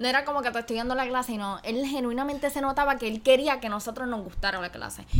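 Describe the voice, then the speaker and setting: Very fast speech with hardly any pauses and fairly even intonation. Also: woman, high pitch for a woman. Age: 18. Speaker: podcast co-host, university student. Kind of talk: casual chat.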